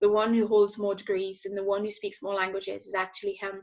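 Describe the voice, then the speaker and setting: A woman speaks with a French accent. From southern France. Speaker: social enterprise founder and CEO. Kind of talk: conference talk. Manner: hesitant, many fillers.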